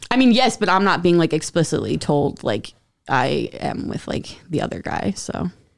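A woman's fairly low voice with vocal fry and an American accent, very wide pitch swings, a moderate pace, on a very clean recording with a silent background. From Central New Jersey. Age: 30s. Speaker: podcast guest. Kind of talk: casual chat.

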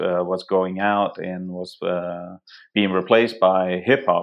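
Fairly slow and with a Danish accent, a man speaks in a very deep, low pitch with fairly even intonation. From Denmark. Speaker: photographer and hunter. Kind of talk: casual interview conversation. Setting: remote call.

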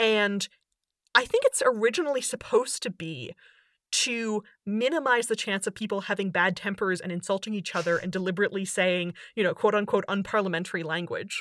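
A normal speaking voice from a woman at medium pitch with ordinary pitch variation and a fairly quick pace, in a very clean recording with a silent background and a dry, close sound with no echo. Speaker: linguist and author. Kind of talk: casual interview chat.

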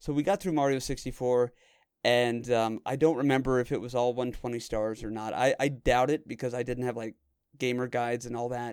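In a very clean recording with a silent background, a man speaks at a fairly quick pace with fairly even intonation. He has a plain, everyday voice at medium pitch. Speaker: podcast host. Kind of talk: casual chat. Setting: Discord call. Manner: joking, playful.

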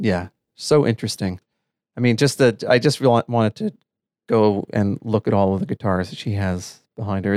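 A man's ordinary speaking voice with an American accent, medium in pitch, with ordinary pitch variation and a dry, close sound with no echo. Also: very clean recording, silent background. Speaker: podcast co-host. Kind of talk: podcast interview.

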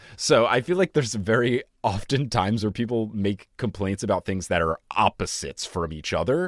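A man with an American accent at a moderate pace, with lively intonation and hardly any pauses, in a dry, close sound with no echo. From United States. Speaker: podcast host. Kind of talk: casual chat.

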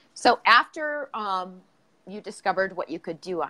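A woman with an Upper Midwest accent, medium pitch, and a bright, sharp tone against a quiet background. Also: dry, close sound with no echo. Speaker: podcast host. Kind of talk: casual interview. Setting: livestream video call. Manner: uses many filler words.

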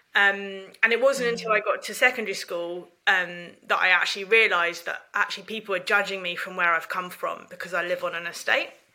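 At a fairly quick pace with hardly any pauses, a woman speaks at a medium pitch with fairly even intonation. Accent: southern English. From England, North London then Ramsgate, Kent. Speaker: charity managing director. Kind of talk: interview.

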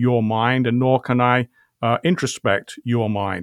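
A man with a British accent speaks at a fairly slow pace and medium pitch, with fairly even intonation. The sound is dry and close with no echo, on a very clean recording with a silent background. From England. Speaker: philosophy professor. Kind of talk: interview discussion.

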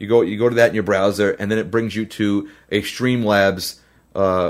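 A normal speaking voice at a fairly quick pace with fairly even intonation, in a very clean recording against a silent background. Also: man. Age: 30s. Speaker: musician and livestream host. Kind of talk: casual livestream Q&A. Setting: live video stream.

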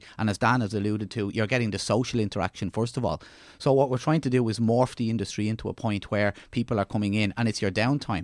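A man with an Irish accent at a very fast pace, medium pitch and fairly even intonation, in a very clean recording with a silent background and a dry, close sound with no echo. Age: 40s. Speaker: leisure services executive. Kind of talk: casual chat.

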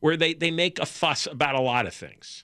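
A man's raised, projected voice with a bright, sharp tone at a very fast pace. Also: dry, close sound with no echo, very clean recording, silent background. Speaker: talk radio co-host. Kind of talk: talk radio chat. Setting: radio studio.

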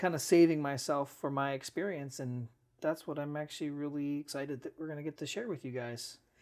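The recording is very clean, with a silent background. A man speaks at a fairly high pitch with fairly even intonation. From US Midwest, Cleveland, Ohio. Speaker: engineer, Coast Guard veteran, new father. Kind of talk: casual chat.

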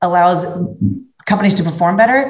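There is audible room echo as a woman with an American accent speaks in a somewhat breathy voice. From US Midwest, Cincinnati, Ohio. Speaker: corporate sales executive. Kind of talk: interview conversation.

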